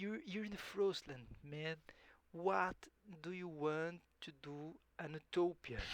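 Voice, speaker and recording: A man with a Portuguese accent, high pitch, ordinary pitch variation, a fairly slow pace and long, frequent pauses. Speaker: gaming YouTuber. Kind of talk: gameplay commentary. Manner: halting, frequent self-repetition; casual, reads game text aloud and reacts.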